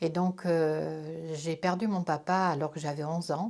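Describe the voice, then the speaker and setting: Very clean recording with a silent background: a woman's very deep, low voice, dark and mellow in tone, monotone and flat in intonation, at a moderate pace. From France, Corrèze. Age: 60s. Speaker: interviewee sharing religious conversion story. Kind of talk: testimony. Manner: hesitant, frequent fillers.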